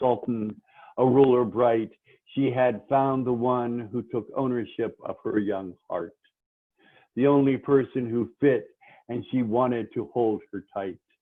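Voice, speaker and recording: A man with an unremarkable speaking voice, medium pitch, fairly even intonation and a fairly slow pace. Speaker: poet. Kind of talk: poetry reading. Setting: phone.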